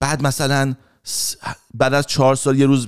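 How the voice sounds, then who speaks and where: A man speaks against a quiet background. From Iran. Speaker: comedian. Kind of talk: casual chat. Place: home room. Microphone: studio mic.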